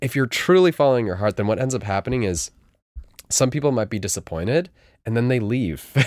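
The delivery is very fast, with lively intonation. The speaker has an American accent. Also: man, medium pitch for a man. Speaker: guest DJ and music label owner. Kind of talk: casual interview chat.

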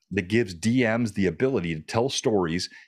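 The speaker has a plain, everyday voice with lively intonation. The background is quiet. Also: man. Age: 50s. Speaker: game streamer and content creator. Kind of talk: casual interview chat.

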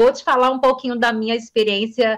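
A woman's voice, fairly high in pitch. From Brasília, Brazil. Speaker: journalist and communication teacher. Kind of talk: interview. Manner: fluent.

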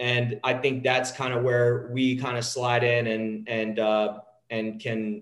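A man with an American accent talks at a fairly slow pace and a medium pitch. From Texas, near Dallas. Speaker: sports analytics company founder, former sports agent. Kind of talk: podcast interview. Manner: halting, with frequent repetitions.

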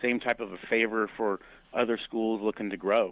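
With an unremarkable speaking voice, a man speaks at a moderate pace and a fairly low pitch. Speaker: college basketball coach. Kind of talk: interview.

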